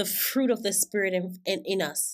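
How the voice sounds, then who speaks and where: Fairly even intonation marks this very slow delivery with an American accent. The recording is very clean, with a silent background. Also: woman. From Florida. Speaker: podcast host giving sermons. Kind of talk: sermon.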